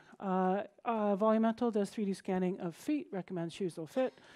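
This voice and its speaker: Her tone is dark and mellow, with ordinary pitch variation. The woman keeps a moderate pace against a quiet background. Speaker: conference speaker. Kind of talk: conference talk. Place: stage.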